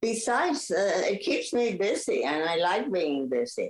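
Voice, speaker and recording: A woman speaking at a very slow pace. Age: 80s+. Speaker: Pilates teacher and former ballet dancer. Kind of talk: interview. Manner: halting.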